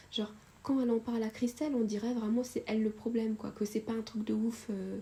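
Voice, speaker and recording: Monotone, flat intonation at a fairly quick pace. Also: woman. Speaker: YouTuber storyteller. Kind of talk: storytime narration of a subscriber's story. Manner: casual, many hesitations and fillers.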